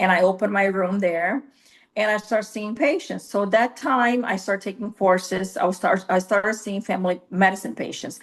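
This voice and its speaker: A woman's medium-pitched voice with a Brazilian accent and ordinary pitch variation. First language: Portuguese. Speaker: nurse practitioner. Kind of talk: interview. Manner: halting, with frequent fillers.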